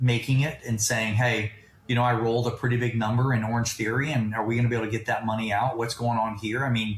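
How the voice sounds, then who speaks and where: A somewhat breathy male voice at medium pitch. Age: 50s. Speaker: private equity founder and investor. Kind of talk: podcast interview. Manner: animated.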